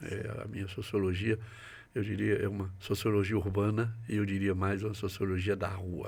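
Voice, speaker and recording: This man's voice sits fairly low and comes out somewhat breathy, at a moderate pace. His intonation is monotone and flat, and room echo is audible. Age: 80s+. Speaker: psychiatrist and professor. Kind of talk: interview. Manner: hesitant, frequent fillers.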